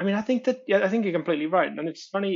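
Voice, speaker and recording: A man speaks with a Welsh accent. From Wales. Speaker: comedian. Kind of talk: podcast guest interview answer.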